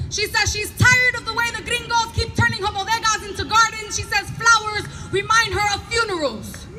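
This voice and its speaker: A loud voice comes through over noticeable background noise. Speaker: performance poet. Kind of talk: spoken word poetry performance. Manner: animated.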